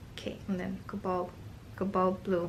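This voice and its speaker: A woman with a non-native accent speaks amid audible room echo. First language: not English. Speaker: art YouTuber and online art teacher. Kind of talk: casual product review while swatching paints. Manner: casual, meandering with fillers.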